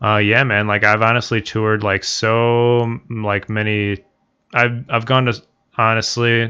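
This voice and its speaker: Very even in loudness, a man with medium pitch and a bright, sharp tone talks at a fairly slow pace. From US Midwest, Chicago area (born in Bulgaria, moved at two). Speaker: podcast guest, friend of host. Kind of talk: casual chat. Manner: halting, many fillers and restarts.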